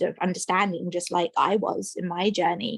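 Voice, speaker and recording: Speaking with an English accent, a woman keeps a medium pitch, fairly even intonation and a moderate pace. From England, London. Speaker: maternal mental health practitioner. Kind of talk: radio interview.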